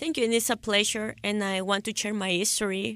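Recorded very cleanly against a silent background, a woman's voice has ordinary pitch variation and a dry, close sound with no echo. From El Salvador. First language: Spanish. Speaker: school volunteer. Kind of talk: casual interview. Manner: halting.

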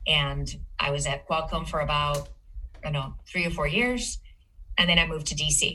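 A woman with a very deep, low voice speaks at a moderate pace with vocal fry, a bright, sharp tone, ordinary pitch variation and long, frequent pauses. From Spain (Madrid). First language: Spanish. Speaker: cybersecurity executive. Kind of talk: casual interview conversation.

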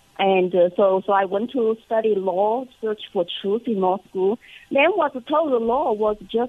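With a Chinese accent, a woman speaks at a fairly slow pace in a fairly high pitch with lively intonation. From China. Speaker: congressional candidate. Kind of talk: radio interview.

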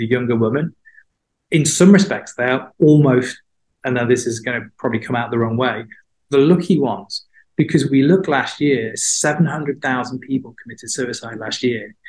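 At a moderate pace, a man talks in a plain, everyday voice. His pitch sits in the medium range and varies in an ordinary way. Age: 50s. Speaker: mental health platform founder, former journalist. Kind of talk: interview.

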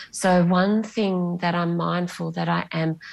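Speaking at a very slow pace, a woman with an Australian accent has a fairly low pitch. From Bunbury, Western Australia. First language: Greek. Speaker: novelist. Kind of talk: interview. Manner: hesitant, with fillers.

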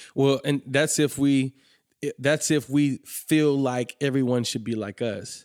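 A man with an American accent has an unremarkable speaking voice at medium pitch. He speaks at a fairly slow pace with fairly even intonation, in a dry, close sound with no echo. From Atlanta, US South. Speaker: ministry school founder. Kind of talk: casual chat.

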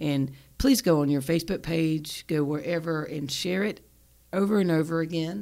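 In a Southern US accent, a woman talks at a moderate pace with a fairly low pitch and a dark, mellow tone. The recording is very clean, with a silent background. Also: ordinary pitch variation. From US South, South Carolina. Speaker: podcast host and psychotherapist. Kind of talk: casual interview chat.

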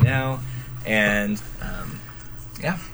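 Speaking at a very slow pace, a man uses a medium pitch. Audible room echo and noticeable background noise are present in the recording. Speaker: college student. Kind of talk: casual chat.

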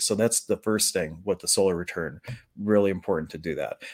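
A normal speaking voice from a man, fairly low in pitch, comes through a dry, close sound with no echo. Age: 40s. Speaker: shamanic healer and podcast host. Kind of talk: casual livestream talk. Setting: home office with green screen.

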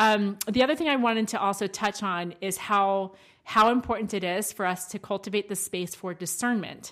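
A woman's medium-pitched voice with a slight Southern US accent, ordinary pitch variation and a moderate pace, in a very clean recording with a silent background. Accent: slight Southern twang at times. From Maryland, US. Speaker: podcast co-host. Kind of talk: casual chat.

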